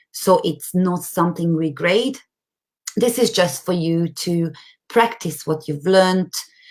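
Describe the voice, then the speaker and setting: A plain, everyday voice at a moderate pace, with ordinary pitch variation. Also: woman. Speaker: online course tutor. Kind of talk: live webinar platform walkthrough. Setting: live stream with screen share.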